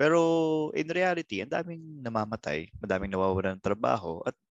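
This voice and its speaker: Male speech at a fairly quick pace with very wide pitch swings. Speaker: comedy podcast host. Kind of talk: casual chat.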